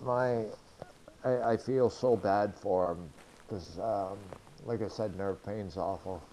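Speaking with a New England accent, a man talks at a very slow pace. His speech has long, frequent pauses. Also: fairly low pitch for a man, ordinary pitch variation. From New Hampshire. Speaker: injured motorcyclist, wheelchair user. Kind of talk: interview testimony.

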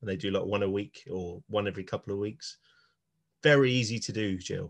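An ordinary speaking voice from a man, fairly low in pitch, with ordinary pitch variation and a fairly quick pace, in a dry, close sound with no echo against a quiet background. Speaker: podcast host. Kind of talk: casual chat.

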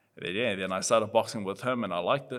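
On a very clean recording with a silent background, a man with a New Zealand accent speaks at a fairly low pitch. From New Zealand (Auckland). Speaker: professional boxer. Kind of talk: casual interview chat.

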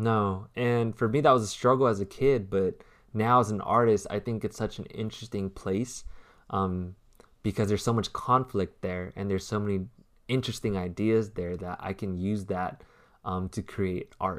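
Over a silent background in a very clean recording, a man with an unremarkable speaking voice talks at a moderate pace, fairly low in pitch, with fairly even intonation. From US, raised Vietnamese-American. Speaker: artist and designer, podcast co-host. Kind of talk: casual chat.

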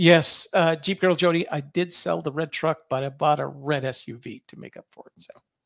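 Vocal fry runs through a fairly even intonation, recorded with a dry, close sound and no echo. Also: man. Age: 70s. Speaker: co-host and presenter. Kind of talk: business presentation. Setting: video call with screen share. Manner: hesitant, filler-heavy.

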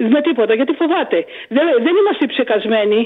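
A woman's high-pitched voice at a moderate pace, with very wide pitch swings and noticeable background noise. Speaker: caller. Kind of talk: phone-in chat. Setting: phone call.

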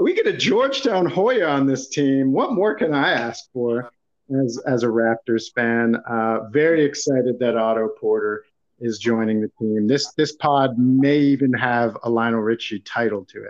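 Medium pitch in a man's normal speaking voice, with ordinary pitch variation. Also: moderate pace. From Toronto area, Canada. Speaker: podcast host. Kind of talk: casual sports podcast chat.

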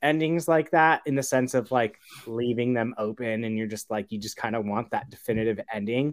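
With a plain, everyday voice, a man talks at a medium pitch and moderate pace, using ordinary pitch variation and hardly any pauses. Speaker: panelist. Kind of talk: casual chat.

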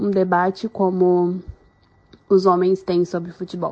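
A woman in a southern Brazilian accent, at a fairly slow pace. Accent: gaúcho Brazilian Portuguese. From Rio Grande do Sul, Brazil. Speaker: journalist. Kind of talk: recorded testimony.

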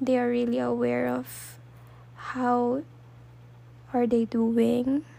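A woman with a Filipino accent speaks at a very slow pace with long, frequent pauses. Noticeable background noise runs under her voice. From Philippines. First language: Tagalog. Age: 20s. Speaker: podcast host. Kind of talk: solo podcast monologue.

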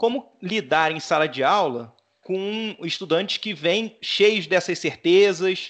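A man is speaking. The background is quiet. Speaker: podcast host. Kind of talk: interview.

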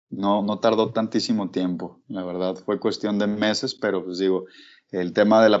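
Here a man speaks with very deep, low pitch. His intonation stays fairly even at a fairly slow pace. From Mexico, Guadalajara (Jalisco). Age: 20s. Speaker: urban fishing project founder, sport angler. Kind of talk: interview.

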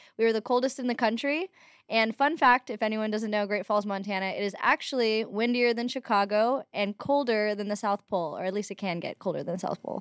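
Speaking at a fairly quick pace, a woman with a fairly high pitch and ordinary pitch variation has an ordinary speaking voice, heard in a very clean recording with a silent background. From Los Angeles, US. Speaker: writer and entrepreneur. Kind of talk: casual interview chat.

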